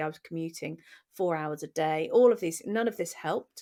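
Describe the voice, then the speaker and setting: Speaking in a British accent, a woman uses a fairly low pitch. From England. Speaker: podcast co-host. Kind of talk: casual conversation, personal story.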